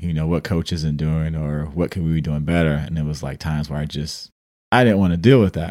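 Recorded very cleanly against a silent background, a man with a very deep, low pitch and an American accent speaks with fairly even intonation. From US Midwest, Detroit. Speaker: podcast co-host, professional basketball player. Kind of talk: casual chat.

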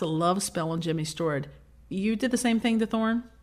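A woman with a medium pitch and lively intonation on a very clean recording with a silent background. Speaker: podcast co-host. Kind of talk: scripted comedic storytelling. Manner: dramatic.

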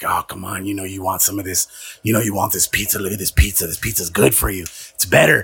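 Whispering in a raspy, put-on character voice, a man races at a very fast pace with big swings in loudness. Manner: coaxing.

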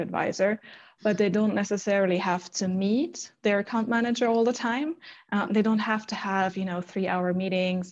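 A woman at a fairly quick pace, quiet background behind her. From Germany. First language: German. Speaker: sales manager. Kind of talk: interview.

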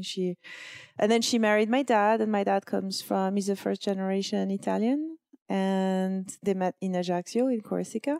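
In a very clean, dry, close recording with no echo and a silent background, a woman with a French accent speaks at a moderate pace in a dark, mellow tone with ordinary pitch variation. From France. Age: 40s. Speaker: blogger and entrepreneur. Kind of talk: casual interview.

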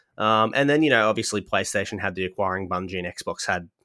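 A man with an Australian accent talks very fast in a fairly low pitch with a bright, sharp tone. The recording is very clean, with a silent background. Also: dry, close sound with no echo. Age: 30s. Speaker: podcast host. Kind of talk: casual chat.

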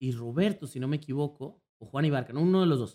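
A man speaks with a fairly high voice. His intonation is lively. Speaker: streamer. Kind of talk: casual chat. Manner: loud.

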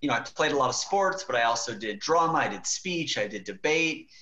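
A man speaks fairly quickly while noticeable noise fills the background. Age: younger than 40s. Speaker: marketing executive and author. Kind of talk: podcast interview. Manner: casual with many fillers.

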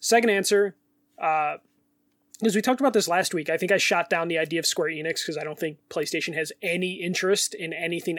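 A man with a high voice and a Chicago accent speaks with fairly even intonation. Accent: Chicago American. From Chicago, US. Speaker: podcast co-host. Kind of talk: casual chat.

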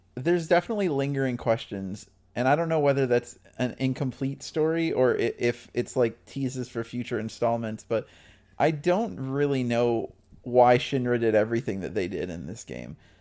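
A plain, everyday voice moves at a moderate pace with lively intonation. The recording is very clean, with a silent background. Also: man. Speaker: podcast panelist. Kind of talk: casual chat. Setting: VoIP call.

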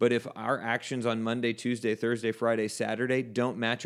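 Speaking with an American accent, this man has a normal speaking voice at a medium pitch. His intonation is fairly even, and the recording is very clean with a silent background. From South Texas. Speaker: Bible college podcast host, reverend. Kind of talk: casual Bible study discussion.

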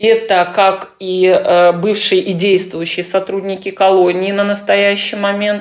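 A woman talks at a very slow pace in a medium pitch. Her tone is calm, and her intonation is monotone and flat. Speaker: lawyer. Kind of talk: interview answers.

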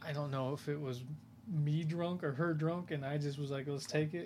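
A man with an American accent speaks at a fairly quick pace. His tone is dark and mellow, and his intonation stays fairly even. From Iowa, US Midwest. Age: 30s. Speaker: podcast co-host. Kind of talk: casual chat. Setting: home recording late at night.

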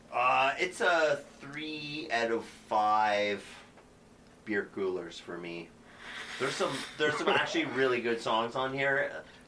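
The intonation is lively, yet the pace is very slow. Noticeable background noise runs underneath. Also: man, medium pitch for a man. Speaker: podcast co-host. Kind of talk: casual banter, music review podcast.

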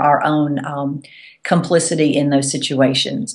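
The voice carries a Southern US accent. Its pace is fairly slow. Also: woman. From US South. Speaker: Episcopal priest and author. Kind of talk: teaching talk on faith.

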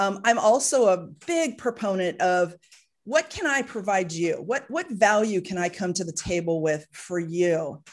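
The pace is fairly slow. This woman talks against a quiet background. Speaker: podcast host. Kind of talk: interview. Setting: studio. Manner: high energy.

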